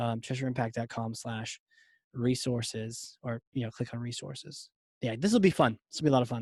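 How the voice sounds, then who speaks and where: In a Southern accent, a man talks at a fairly quick pace and medium pitch with ordinary pitch variation and a somewhat breathy voice, captured in a dry, close sound with no echo against a quiet background. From US South, Virginia. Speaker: podcast host. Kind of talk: casual chat.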